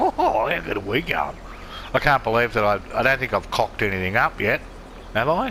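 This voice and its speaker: Noticeable background noise sits behind a speaker with an Australian accent. The delivery is fairly quick, with lively intonation and very even loudness. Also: man, medium pitch for a man. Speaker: gaming video creator. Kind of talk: casual gameplay commentary.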